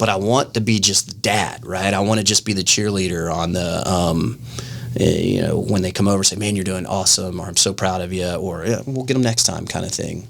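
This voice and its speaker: A man's fairly low voice at a fairly quick pace, with ordinary pitch variation and noticeable background noise. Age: 40s. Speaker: martial arts instructor. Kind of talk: podcast interview. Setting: studio.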